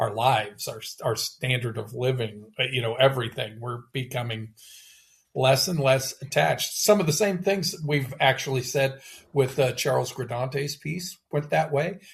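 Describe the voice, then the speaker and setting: Somewhat breathy, a man speaks at a medium pitch. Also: ordinary pitch variation, moderate pace. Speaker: poetry podcast co-host. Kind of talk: casual discussion of poems. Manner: halting, many restarts.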